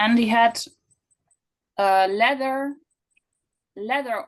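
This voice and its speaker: With a non-native accent, a woman talks using ordinary pitch variation. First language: not English. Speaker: audience member asking a question. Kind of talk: question in online Q&A. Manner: halting, many fillers and restarts.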